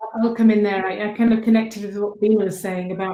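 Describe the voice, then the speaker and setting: Her intonation is monotone and flat as the woman talks. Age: 50s. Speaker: panelist, leadership coach. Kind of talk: panel discussion. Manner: halting.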